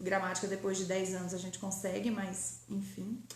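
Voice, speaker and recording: Audible room echo and noticeable background noise accompany a woman's speech. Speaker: grammar teacher. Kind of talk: online lecture.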